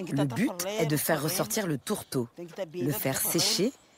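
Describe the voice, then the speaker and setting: Noticeable background noise sits behind a woman speaking at a fairly slow pace. Her fairly low pitch swings very widely. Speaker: home cook. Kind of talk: cooking demonstration.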